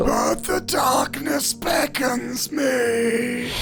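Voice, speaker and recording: A man speaks in a put-on character voice. Loud background noise fills the clip. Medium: comedy sketch. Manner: otherworldly, earnest.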